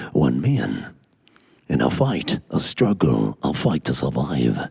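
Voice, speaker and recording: A man puts on a raspy character voice, very deep and low in pitch. He speaks at a fairly slow pace. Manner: dramatic, portentous.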